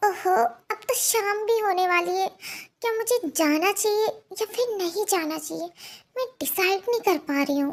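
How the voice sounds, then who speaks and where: Using a put-on character voice, the speaker moves at a moderate pace with lively intonation. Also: woman, extremely high pitch for a woman. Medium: fan dub. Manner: sharp, hot-tempered.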